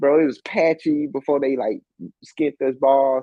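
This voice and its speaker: At a moderate pace, a man speaks with an American accent in a medium pitch. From Alabama, US South. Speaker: professor and entrepreneur. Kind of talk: interview. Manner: casual.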